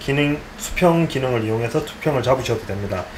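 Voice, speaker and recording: A man's voice with very wide pitch swings, noticeable background noise and audible room echo. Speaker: DJ tutorial creator. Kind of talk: tutorial.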